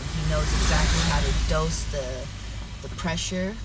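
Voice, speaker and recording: Noticeable background noise fills the clip. A woman is talking. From US Pacific Northwest (Yakima, Washington), born in Brazil. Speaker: jiu-jitsu instructor and dancer. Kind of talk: interview. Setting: video call.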